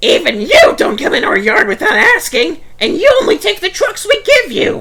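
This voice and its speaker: A man puts on a squeaky character voice at an extremely high pitch with very wide pitch swings, while background noise comes through clearly. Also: moderate pace. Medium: read story.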